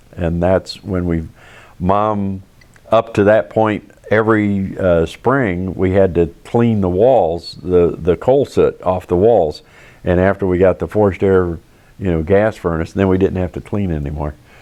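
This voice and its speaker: With an American accent, a man speaks at a fairly slow pace in a very deep, low pitch. His tone is dark and mellow, and his intonation fairly even. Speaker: lifelong German Village resident, oral history interviewee. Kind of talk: oral history interview answer, recalling childhood.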